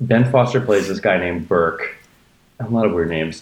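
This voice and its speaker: The man talks at a fairly quick pace with lively intonation. His voice is somewhat breathy. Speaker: podcast co-host. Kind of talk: casual chat.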